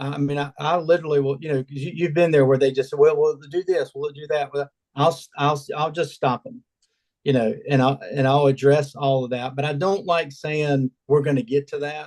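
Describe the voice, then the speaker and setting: Here a man with a normal speaking voice and a fairly high pitch talks with fairly even intonation. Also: moderate pace, dry, close sound with no echo. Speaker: awning salesperson. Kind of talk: casual chat.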